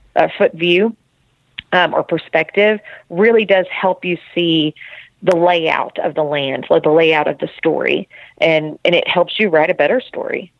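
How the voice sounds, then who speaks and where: Speaking at a fairly slow pace, a woman with an ordinary speaking voice keeps a fairly low pitch and fairly even intonation. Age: 40s. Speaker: author and teacher. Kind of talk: interview.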